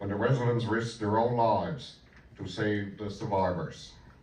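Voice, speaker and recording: A man's moderate-paced speech rings with audible room echo. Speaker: member of parliament. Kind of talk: formal speech at commemoration.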